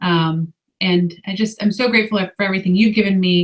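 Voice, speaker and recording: A woman is talking. Her voice has a somewhat breathy quality. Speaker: guest sharing fertility story. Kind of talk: testimony. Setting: webinar.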